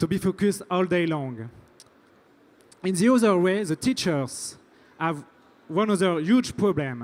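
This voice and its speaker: This man has a French accent and a high pitch with lively intonation. He speaks at a fairly slow pace with long, frequent pauses. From France. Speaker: startup founder. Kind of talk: pitch presentation. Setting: stage at tech event. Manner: halting, repeats words.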